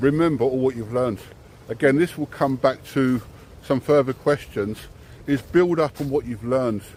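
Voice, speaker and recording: A man speaks in an English accent. His pace is moderate. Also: medium pitch for a man, ordinary pitch variation. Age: 60s. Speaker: driving instructor. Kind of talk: casual chat. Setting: selfie stick video.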